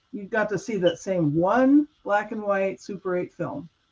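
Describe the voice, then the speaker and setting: A woman speaks in a plain, everyday voice at a medium pitch. Her intonation is lively and her pace moderate. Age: 60s. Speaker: guest sharing Mandela effect experiences. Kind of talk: casual chat.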